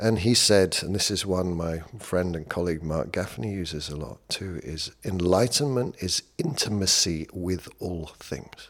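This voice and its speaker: This man, with a British accent and a very deep, low pitch, talks at a fairly slow pace with hardly any pauses and ordinary pitch variation. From Britain. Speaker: leadership coach. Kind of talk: casual chat.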